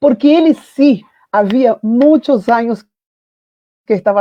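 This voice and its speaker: This woman speaks with lively intonation. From Brazil. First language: Portuguese (speaking Spanish). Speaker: foundation founder and literature professor. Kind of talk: panel talk, personal testimony.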